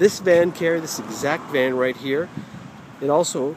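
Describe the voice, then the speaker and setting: A man talks at a moderate pace in a dry sound with no echo. Noticeable background noise runs underneath. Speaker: car salesperson. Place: car. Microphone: phone near.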